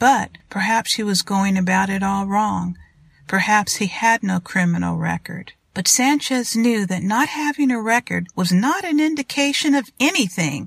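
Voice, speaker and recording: This woman talks at a moderate pace in a medium pitch, her voice somewhat breathy and her intonation lively. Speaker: podcast host and author. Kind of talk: audiobook reading of thriller fiction. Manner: steady, measured narration.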